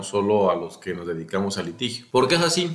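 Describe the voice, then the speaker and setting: A man's fairly low voice with lively intonation and audible room echo. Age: 30s. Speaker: lawyer. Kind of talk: interview.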